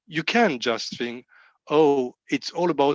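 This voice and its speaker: With a French accent, a man talks at a fairly slow pace and with lively intonation, in a dry, close sound with no echo against a quiet background. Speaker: rabbi. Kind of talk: sermon. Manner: halting.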